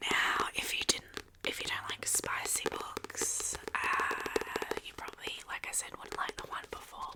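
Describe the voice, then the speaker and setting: A woman whispers at a fairly slow pace with hardly any pauses. Noticeable background noise can be heard. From Australia. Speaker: ASMR YouTuber / book reviewer. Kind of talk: casual talk to camera, book review. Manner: soft-spoken, whispering.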